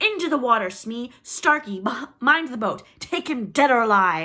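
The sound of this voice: A woman shouts in a put-on character voice, fairly high in pitch, with big swings up and down. Her tone is bright and sharp, and her pace is moderate.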